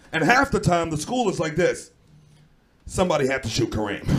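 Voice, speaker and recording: A man with a New York accent speaks at a moderate pace in a high voice. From New York (Brooklyn). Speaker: comedian and podcast host. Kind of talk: comedic banter. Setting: stage with audience.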